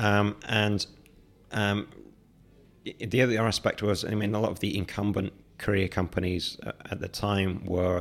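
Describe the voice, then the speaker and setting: With a London accent, a man speaks at a moderate pace in a fairly low voice, his intonation flat and monotone. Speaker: startup founder and CEO. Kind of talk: interview. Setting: studio. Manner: halting.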